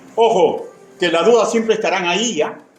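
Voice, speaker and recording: Speech moves at a moderate pace with music in the background. Room echo is audible. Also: man. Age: 60s. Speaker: pastor. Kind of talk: sermon. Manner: repetitive, emphatic.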